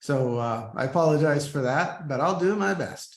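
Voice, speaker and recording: Audible room echo surrounds a man with an American accent. He keeps a moderate pace and lively intonation. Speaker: scientist and Jesuit brother. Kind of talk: lecture. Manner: halting, many fillers.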